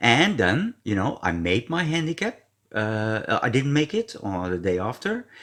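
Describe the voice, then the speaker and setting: A man with a Dutch accent speaks at a moderate pace, his pitch swinging very widely. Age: 50s. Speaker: golf vlogger. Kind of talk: screen-share tutorial. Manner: halting.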